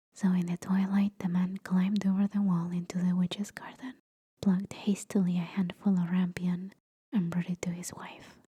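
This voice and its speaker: Soft-spoken and somewhat breathy, a woman talks at a medium pitch and a moderate pace with a dark, mellow tone. Her intonation is monotone and flat, and the sound is dry and close, with no echo. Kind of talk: bedtime fairytale reading.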